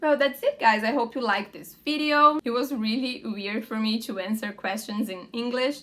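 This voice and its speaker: Bright and sharp in tone, a woman with a fairly high pitch and a Portuguese accent talks with big swings in loudness. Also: ordinary pitch variation, moderate pace, hardly any pauses. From Brazil. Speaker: lifestyle vlogger. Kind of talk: casual vlog Q&A.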